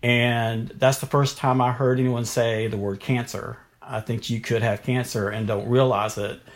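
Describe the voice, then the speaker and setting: A man with a North Carolina accent speaks at medium pitch. His intonation is monotone and flat, and his pace moderate. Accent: North Carolina Southern. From US South, Durham, North Carolina. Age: 50s. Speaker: pre-K teacher and cancer survivor. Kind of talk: interview, personal testimony.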